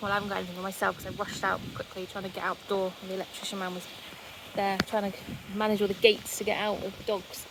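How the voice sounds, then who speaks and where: A woman talks at a very fast pace, quietly. Noticeable background noise runs underneath. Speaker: vlogger. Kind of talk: casual walking vlog. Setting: outdoors by the sea.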